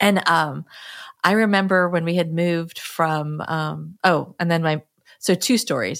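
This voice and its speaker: Here a woman has an unremarkable speaking voice, fairly low in pitch, with ordinary pitch variation. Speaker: podcast co-host. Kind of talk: casual chat. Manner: laughs often, filler-heavy.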